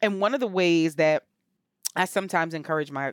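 A woman with an American accent and a plain, everyday voice speaks at a fairly low pitch, in a dry, close sound with no echo, on a very clean recording with a silent background. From Camden, New Jersey. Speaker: therapist. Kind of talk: interview, casual chat.

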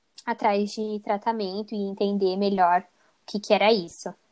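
At a very slow pace, a woman speaks. Her pitch is fairly high. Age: 20s. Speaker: psychology student. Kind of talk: interview.

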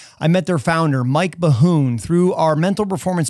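Here a man speaks in an ordinary speaking voice. His pitch is fairly high, with ordinary variation. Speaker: mental performance coach and podcast host. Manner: gently repetitive, counting down and listing body parts.

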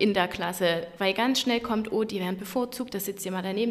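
Speaking fairly quickly with ordinary pitch variation, a woman is heard over noticeable background noise. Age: 30s. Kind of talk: interview.

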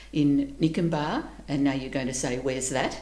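With an Australian accent, a woman speaks at a moderate pace with lively intonation. Noticeable background noise and audible room echo are present. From Queensland, Australia. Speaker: community organisation leader, retiree. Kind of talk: casual interview.

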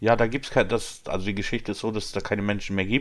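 The recording is very clean, with a silent background. A man speaks in a plain, everyday voice at a fairly low pitch. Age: 30s. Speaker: employee. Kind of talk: casual chat.

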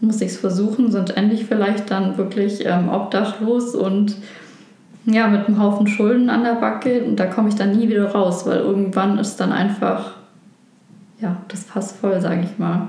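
Against audible room echo and noticeable background noise, a woman speaks at a medium pitch and moderate pace in a monotone, flat intonation. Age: 20s. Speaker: former gambling addict. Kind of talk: testimony.

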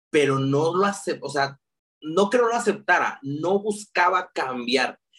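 A man with a Mexican accent speaks at a fairly slow pace. His pitch is high. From Mexico, León, Guanajuato. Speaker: digital marketer. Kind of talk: casual interview. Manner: talkative.

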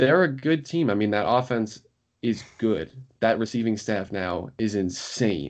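Here is a man with an American accent and a normal speaking voice, pitched fairly low. He moves at a fairly slow pace with lively intonation. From New York area. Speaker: law student and history podcaster. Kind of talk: casual chat.

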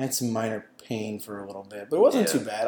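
Words come at a fairly quick pace in an unremarkable speaking voice. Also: man. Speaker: podcast co-host. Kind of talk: casual chat.

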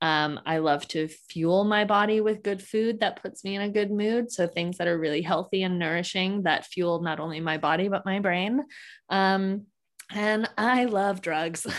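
At a moderate pace, a normal speaking voice talks with ordinary pitch variation. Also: woman, medium pitch for a woman. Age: 30s. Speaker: social media influencer and home cook. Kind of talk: casual interview.

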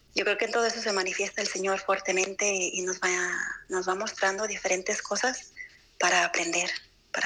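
Amid noticeable background noise, a woman talks at a fairly quick pace and medium pitch in a monotone, flat intonation with very even loudness. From Guadalajara, Mexico. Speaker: cloistered nun. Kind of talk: testimony. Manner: halting.

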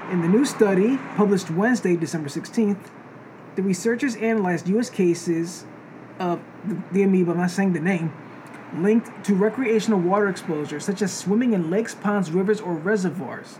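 Speech with an American accent at a fairly quick pace, ordinary pitch variation, and noticeable background noise. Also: man, high pitch for a man. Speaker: podcast host. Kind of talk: casual banter podcast chat.

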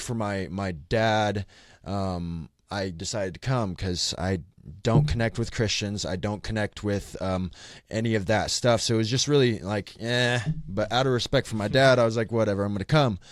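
On a very clean recording with a silent background, a man with a fairly low pitch talks at a moderate pace and ordinary pitch variation. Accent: Midwestern American. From Kansas City, Missouri. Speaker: ministry leader. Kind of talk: casual chat.

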